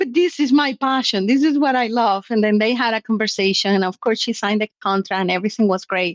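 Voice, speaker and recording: A woman with a non-native accent speaks at a fairly quick pace, using a fairly high pitch with ordinary variation. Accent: foreign. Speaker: short-term rental business owner. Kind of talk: interview conversation.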